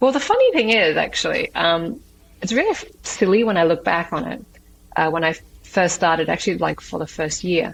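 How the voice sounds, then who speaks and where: With an Australian accent, a woman delivers her words rather quickly. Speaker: entrepreneur and martial artist. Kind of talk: interview. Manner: hesitant, many fillers.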